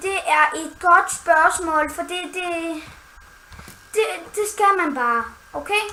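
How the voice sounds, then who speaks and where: At a very slow pace with long, frequent pauses, a woman speaks in an extremely high, raised and projected voice with a playful tone and ordinary pitch variation, against noticeable background noise and audible room echo. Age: 20s. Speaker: gaming YouTuber. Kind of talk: casual chat.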